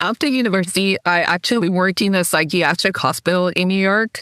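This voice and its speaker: A woman's medium-pitched voice at a moderate pace with ordinary pitch variation, a dry, close sound with no echo and a very clean recording on a silent background. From international upbringing: Spain, Taiwan, Swaziland, then Boston. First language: Spanish, then Mandarin Chinese. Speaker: airline executive. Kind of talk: podcast interview.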